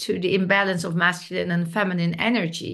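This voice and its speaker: A woman with a non-native accent and a medium pitch. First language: Dutch. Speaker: podcast host. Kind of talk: interview.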